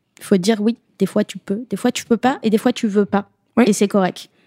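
At a fairly quick pace, a woman speaks in a dark, mellow tone at medium pitch, her intonation monotone and flat. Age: 30s. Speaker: woman unable to have children sharing her story. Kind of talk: podcast interview.

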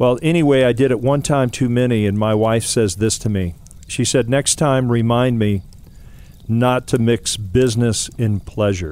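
A man uses a normal speaking voice at a moderate pace, his medium pitch varying in an ordinary way and his loudness very even. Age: 60s. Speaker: mentor giving a devotional segment. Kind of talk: short devotional talk.

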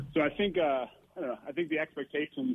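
A man with an American accent at a fairly quick pace. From Wisconsin. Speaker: radio show caller. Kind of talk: casual chat.

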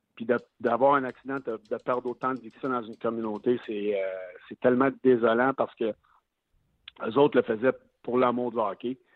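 A man speaks at medium pitch with monotone, flat intonation. His moderate pace is broken by long, frequent pauses. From Quebec City. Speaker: former NHL player, hockey analyst. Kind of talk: casual chat. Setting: phone call.

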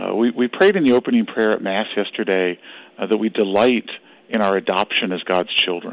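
An ordinary speaking voice from a man, fairly low in pitch, moves at a fairly quick pace with fairly even intonation. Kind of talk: radio interview.

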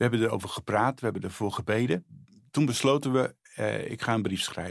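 Talking at a fairly quick pace, a man uses a medium pitch in a very clean recording with a silent background. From Netherlands, Friesland. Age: 60s. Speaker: charity spokesperson. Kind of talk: testimony. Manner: halting.

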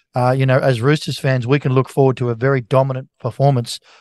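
A man with an Australian accent speaks very fast in a medium pitch and a monotone, flat intonation. The sound is dry and close with no echo over a quiet background. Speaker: sports radio host. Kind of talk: casual sports chat.

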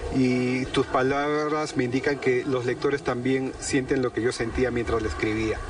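With hardly any pauses, a man at medium pitch talks at a moderate pace in a monotone, flat voice of very even loudness, over noticeable background noise. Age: 50s. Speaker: novelist. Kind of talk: interview.

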